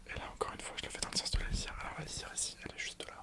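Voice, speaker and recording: A whisper at a very fast pace over noticeable background noise. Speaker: ASMR creator. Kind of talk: casual ASMR talk to camera about crafts.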